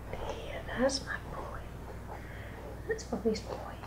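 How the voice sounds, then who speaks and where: With noticeable background noise, a woman speaks at a very slow pace. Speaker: dog owner. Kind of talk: ASMR, casual talk to pets while grooming. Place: home room. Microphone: camera far.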